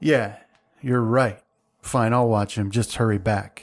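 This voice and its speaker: Using a put-on character voice, a man sounds gruff at a medium pitch and a fairly slow pace. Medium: actual play. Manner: simple, gruff.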